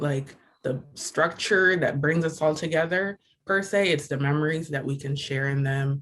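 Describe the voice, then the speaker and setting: The speaker has an American accent and a fairly slow pace. The intonation stays fairly even. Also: man. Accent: sounds American-born. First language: Igbo. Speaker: student exhibitor. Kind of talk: panel discussion.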